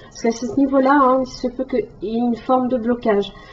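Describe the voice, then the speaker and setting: Noticeable background noise sits behind a woman's high voice. Her intonation stays fairly even. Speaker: tarot reader. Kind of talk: tarot reading monologue. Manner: hesitant, many fillers.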